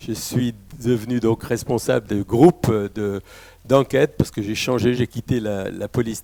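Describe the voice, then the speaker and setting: A dark, mellow tone, dry and close with no echo, on a very clean recording with a silent background. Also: man. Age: 70s. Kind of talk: testimony.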